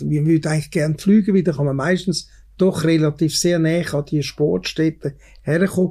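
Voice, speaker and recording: With a Swiss accent, a man talks at a fairly quick pace in a dark, mellow tone, his pitch fairly high and varying in an ordinary way. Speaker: podcast host. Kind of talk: interview. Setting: indoor venue at a museum.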